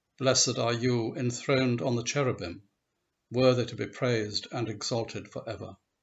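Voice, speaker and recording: A man speaks at a moderate pace and medium pitch with fairly even intonation. His voice sounds somewhat breathy. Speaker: service leader. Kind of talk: liturgical prayer, read aloud from a set service text. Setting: church service recorded for online video. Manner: measured, solemn, reverent pace with even cadence. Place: home room. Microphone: webcam.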